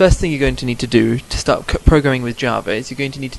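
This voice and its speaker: A man with a medium pitch speaks while noticeable background noise runs underneath. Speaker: Minecraft modding tutorial maker. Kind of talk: screen-recorded programming tutorial. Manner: mumbling, stuttering at times.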